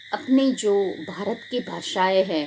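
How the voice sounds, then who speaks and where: Her pitch medium, a woman speaks with lively intonation. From Gujarat, India. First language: Gujarati (speaking Hindi). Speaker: pastor. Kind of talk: sermon. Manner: halting.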